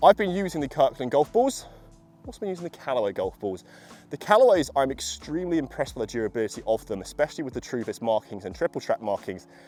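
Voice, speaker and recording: Speaking with a British accent, a man sounds enthusiastic, his fairly high pitch making very wide swings and his loudness shifting in big swings at a very fast pace. The sound is dry and close, with no echo. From UK. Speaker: golf equipment reviewer. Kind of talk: product review video. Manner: casual, enthusiastic.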